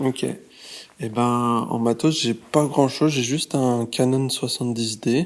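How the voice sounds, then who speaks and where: Here is a man with a plain, everyday voice at a medium pitch. His intonation is fairly even, and the recording is very clean with a silent background. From France, Lyon. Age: 20s. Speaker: street photographer and graphic designer. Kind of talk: casual interview.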